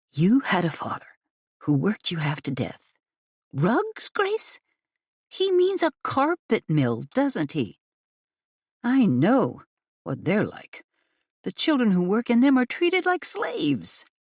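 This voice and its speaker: In a put-on character voice that is gruff and fairly high in pitch, the speaker goes at a fairly slow pace with long, frequent pauses. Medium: read story. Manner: gruff, hushed and sharp.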